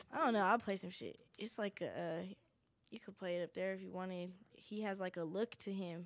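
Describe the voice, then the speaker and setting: A woman's normal speaking voice at a medium pitch, with a fairly quick pace and fairly even intonation. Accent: American. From Denver, Colorado. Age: young. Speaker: singer and designer. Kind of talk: casual chat.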